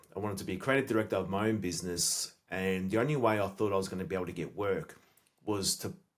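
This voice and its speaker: The words come at a very fast pace with ordinary pitch variation. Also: man. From Australia. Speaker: sales expert and entrepreneur. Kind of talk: podcast interview.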